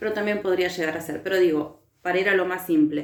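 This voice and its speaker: Using a normal speaking voice, a woman talks at a medium pitch and a fairly quick pace with fairly even intonation. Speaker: teacher. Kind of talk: recorded lecture.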